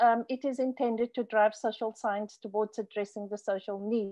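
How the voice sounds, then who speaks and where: The speaker is a woman. Nothing much disturbs the quiet background. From South Africa. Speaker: professor of fisheries social science; presenter. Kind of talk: keynote lecture; conference talk. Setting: video call. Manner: halting, many fillers. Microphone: video call.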